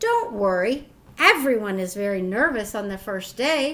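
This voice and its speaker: A put-on character voice at a moderate pace, with big swings in loudness. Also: woman, fairly high pitch for a woman. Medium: read story. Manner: gushing, brisk.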